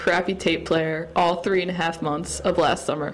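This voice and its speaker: A woman at a moderate pace with noticeable background noise. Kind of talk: fan-written poem read aloud. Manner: breathless, excited, gushing list.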